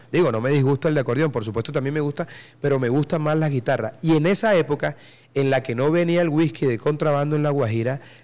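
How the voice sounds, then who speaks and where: Ordinary pitch variation and a fairly quick pace mark a normal speaking voice. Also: man. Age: 40s. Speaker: podcast host. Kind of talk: casual chat.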